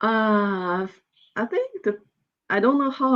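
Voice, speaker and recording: Speaking in a Chinese accent, a woman uses a medium pitch and ordinary pitch variation at a fairly slow pace. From northeast China. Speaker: PhD student in veterinary science. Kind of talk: interview. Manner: hesitant, repeating words.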